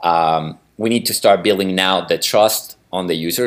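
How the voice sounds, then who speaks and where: A man with a very deep, low pitch, ordinary pitch variation and a moderate pace. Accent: Spanish. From Chile. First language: Spanish. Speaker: growth marketing manager. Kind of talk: interview. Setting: video call. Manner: halting, repeats words.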